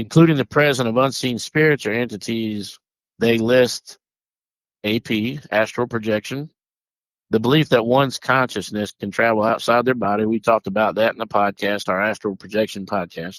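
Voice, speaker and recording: A man talks in a strong Southern US accent at a moderate pace, his pitch varying in an ordinary way. The recording is very clean, with a silent background. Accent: deep Southern US. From US South. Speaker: paranormal podcast host. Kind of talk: casual podcast chat, partly reading notes. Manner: halting, with repeats and self-corrections.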